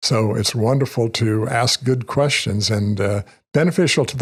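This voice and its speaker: A man speaks with a US Midwestern accent in a somewhat breathy voice. The recording is very clean, with a silent background. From Kansas, Wichita. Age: 70s. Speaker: retired financial advisor. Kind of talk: casual interview.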